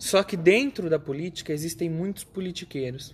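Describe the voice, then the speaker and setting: Her pitch is very deep and low. The woman keeps to a moderate pace. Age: 20s. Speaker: podcast host. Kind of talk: casual political discussion.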